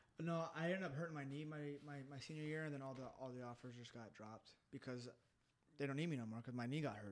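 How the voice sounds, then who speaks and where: Speaking very fast with an American accent, a man uses a fairly high pitch and ordinary pitch variation. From Colorado and California, US. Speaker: MMA fighter. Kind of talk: casual chat, interview. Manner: fast talker.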